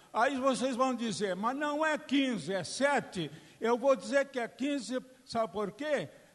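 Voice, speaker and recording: At a fairly slow pace, a man speaks with an extremely high pitch and ordinary pitch variation. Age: 70s. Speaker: public hearing speaker. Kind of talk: public hearing speech. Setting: public hearing with audience.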